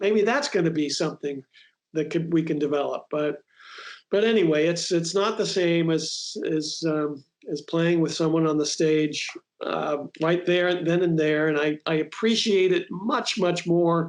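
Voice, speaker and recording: A man talks in a high-pitched voice. His pace is fairly slow, with ordinary pitch variation. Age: 60s. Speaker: bassist. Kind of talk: casual chat.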